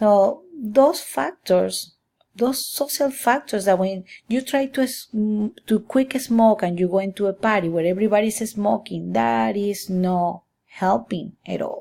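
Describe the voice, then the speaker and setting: Speaking in a Spanish accent, a woman with a medium-pitched voice and a dark, mellow tone goes at a fairly slow pace in a very clean recording with a silent background. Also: ordinary pitch variation. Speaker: student. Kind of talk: class presentation. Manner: halting.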